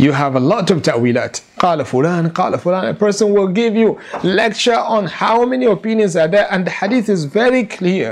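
A man speaks at a moderate pace with very wide pitch swings, over light background noise. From Nigeria. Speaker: Islamic scholar and lecturer. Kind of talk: religious lecture. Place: home room. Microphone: lapel.

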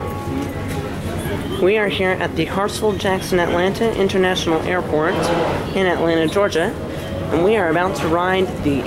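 A fairly slow pace with clear music in the background. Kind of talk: casual vlog narration. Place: station. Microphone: phone near.

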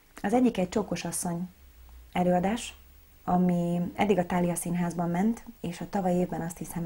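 Here a woman talks at a moderate pace with a fairly low pitch. Her pitch variation is ordinary. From Hungary, Szigetszentmiklós near Budapest; Hungary. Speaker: operetta singer and actress; actress. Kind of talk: interview. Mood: relaxed, friendly. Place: studio.

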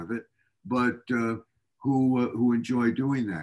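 A man talks fairly slowly, and the background is quiet. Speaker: interviewee. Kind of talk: interview answer. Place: home room. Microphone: video call.

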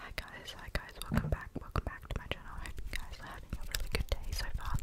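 A woman whispers, soft-spoken. She goes at a very fast pace. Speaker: ASMR creator. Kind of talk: whispered ASMR chat. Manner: soft close-mic ASMR whisper. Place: home room. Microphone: studio mic.

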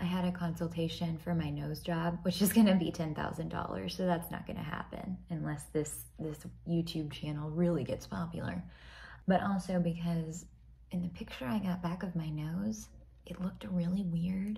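Speaking with an American accent, a woman talks at a moderate pace in a fairly low pitch. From US South. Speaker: video creator and ghost story teller. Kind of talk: casual ghost story telling while doing makeup, chatty and relaxed, with modern slang. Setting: home video, filmed while putting on makeup. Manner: animated, conversational storyteller; rambling, self-deprecating, laughing. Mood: playful, chatty. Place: home room. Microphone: phone near.

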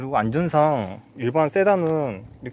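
Dry with no echo, the sound carries a dark, mellow tone. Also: man. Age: 30s. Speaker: car owner reviewing his car. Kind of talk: casual car review talk. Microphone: phone near.

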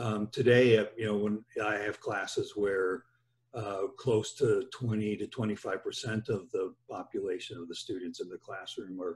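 Somewhat breathy, a man speaks with a fairly low pitch and fairly even intonation. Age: 60s. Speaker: podcast host, engineering professor; podcast host. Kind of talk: casual interview; interview conversation. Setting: home office. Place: office. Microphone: webcam.

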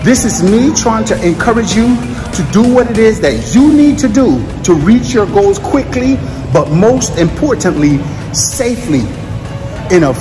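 A man talking at a fairly slow pace over clear background music. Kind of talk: motivational vlog talk. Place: gym. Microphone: phone near.

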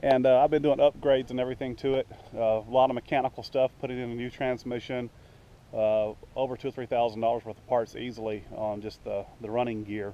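A man's medium-pitched voice at a fairly quick pace, with little pitch movement

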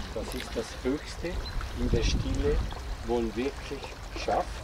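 The speech moves at a fairly slow pace, with a dry sound that has no echo against loud background noise. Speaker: workshop participant. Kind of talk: casual group discussion. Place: garden.

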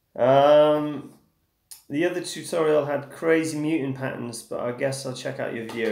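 Audible room echo surrounds a man speaking at a moderate pace with an English accent. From England. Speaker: guitar teacher. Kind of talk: live stream chat and guitar tutorial. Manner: casual.

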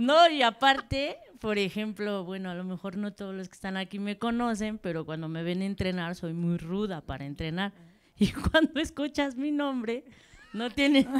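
At a moderate pace, a woman talks with very wide pitch swings and big swings in loudness. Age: 40s. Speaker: football coach. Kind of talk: audience question. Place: hall.

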